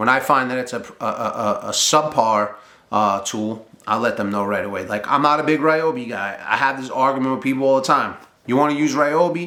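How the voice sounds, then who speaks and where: In a room with audible echo, a man of medium pitch talks at a fairly quick pace in an animated tone. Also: ordinary pitch variation. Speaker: boiler mechanic and trades business owner. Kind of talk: casual talk to camera. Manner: fast.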